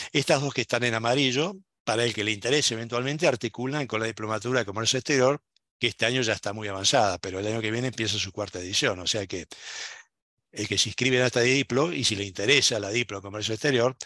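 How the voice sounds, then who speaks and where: Over a quiet background, a man talks at a very fast pace with a medium pitch, ordinary pitch variation and a bright, sharp tone, the sound dry and close with no echo. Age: 60s. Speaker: university program director and lecturer. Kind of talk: lecture. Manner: animated.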